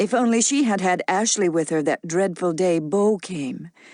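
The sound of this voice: The reading voice sounds unforced. Pitch moves with ordinary variation.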